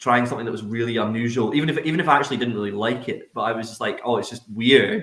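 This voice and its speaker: A man with a Scottish accent and a medium pitch talks at a very fast pace. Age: 30s. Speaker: distillery representative. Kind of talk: casual chat. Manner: loud.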